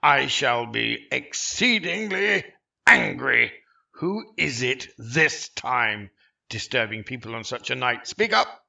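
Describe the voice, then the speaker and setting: A raspy, put-on character voice moves along at a fairly slow pace. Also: man, medium pitch for a man. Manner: suspicious, irritated.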